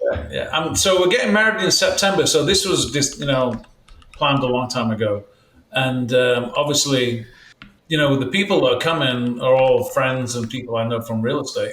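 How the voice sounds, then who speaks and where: A man in a British accent, medium-pitched, with lively intonation and a moderate pace. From England. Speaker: real estate team leader. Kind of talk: podcast interview.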